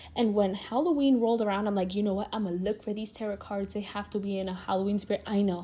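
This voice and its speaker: With a Spanish accent, the speaker rushes along at a very fast pace with hardly any pauses. The voice is somewhat breathy, with a dark, mellow tone and fairly even intonation. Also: woman, medium pitch for a woman. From Latin America. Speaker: podcast host. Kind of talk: casual chat. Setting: at home talking to camera. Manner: conversational, free-flowing.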